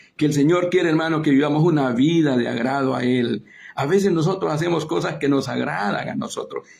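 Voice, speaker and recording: A man's fairly high voice with vocal fry and lively intonation, at a fairly quick pace. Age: 60s. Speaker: preacher. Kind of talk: sermon. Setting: online broadcast via Facebook and Zoom.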